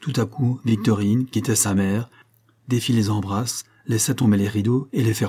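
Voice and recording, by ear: A natural voice reading aloud.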